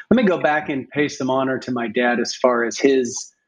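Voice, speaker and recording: Fairly quick male speech at a medium pitch. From US Midwest (Springfield, Ohio). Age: 50s. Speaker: funeral home owner. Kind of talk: casual interview.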